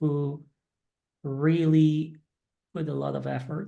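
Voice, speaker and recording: A woman with a Polish accent, speaking at a very slow pace. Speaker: English teacher. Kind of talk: casual chat. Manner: halting.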